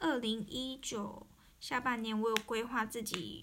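A woman speaks at a fairly high pitch with ordinary pitch variation, and the room echo is audible. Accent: Taiwanese. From Taiwan. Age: 20s. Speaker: podcaster. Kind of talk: personal monologue.

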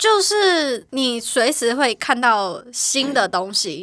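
A woman's voice with a bright, sharp tone. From Taiwan. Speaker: interior designer. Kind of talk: casual chat.

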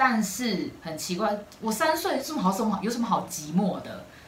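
A woman's medium-pitched voice swings very widely in pitch at a moderate pace, with noticeable background noise and audible room echo. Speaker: podcast co-host. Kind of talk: casual chat.

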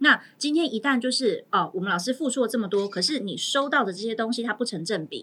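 Speaking very fast with hardly any pauses, a woman uses a fairly high pitch and lively intonation. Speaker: teacher, guest co-host. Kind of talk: casual chat.

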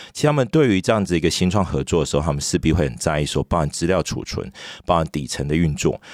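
A very fast man's voice, very deep and low, with vocal fry and ordinary pitch variation. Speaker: startup founder and CEO. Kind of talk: interview.

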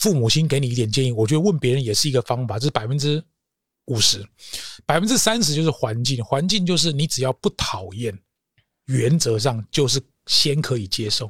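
A man talks at a fairly quick pace with lively intonation and a somewhat breathy sound. The audio is dry and close, with no echo. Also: medium pitch for a man. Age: 50s. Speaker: corporate trainer. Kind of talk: interview.

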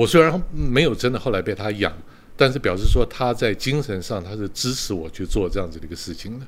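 In an ordinary speaking voice, a man talks at a fairly quick pace. His intonation is lively, with big swings in loudness. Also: fairly low pitch for a man. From Taiwan. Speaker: retired executive turned street performer. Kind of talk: interview.

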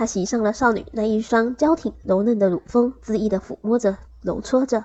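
Plain reading aloud is what this recording holds.

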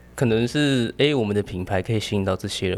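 Here a man speaks at a fairly low pitch with ordinary pitch variation. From Taipei, Taiwan. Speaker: hair stylist. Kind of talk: casual chat.

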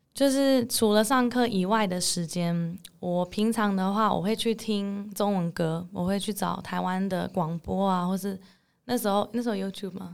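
Moderate pace and fairly even intonation from a woman at medium pitch, over a silent background in a very clean recording. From Netherlands. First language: English (speaking Chinese). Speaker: English teacher. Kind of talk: interview.

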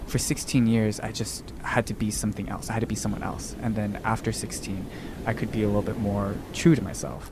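Over noticeable background noise, a man with an American accent talks at a moderate pace, his pitch fairly low and his intonation fairly even. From Texas (Dallas). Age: 20s. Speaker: poet and graduate student. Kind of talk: interview, personal testimony.

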